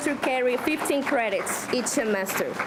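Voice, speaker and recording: Ordinary pitch variation and a moderate pace come through over noticeable background noise. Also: woman. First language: Spanish. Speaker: community college student speaker. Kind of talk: speech. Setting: podium at a luncheon with audience. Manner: slightly halting, self-correcting.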